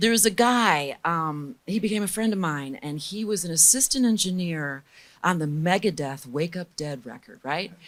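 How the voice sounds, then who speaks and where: In a very clean recording with a silent background, a woman with a normal speaking voice uses lively intonation at a fairly low pitch and a moderate pace. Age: 50s. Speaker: record producer and mixing engineer. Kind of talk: interview conversation.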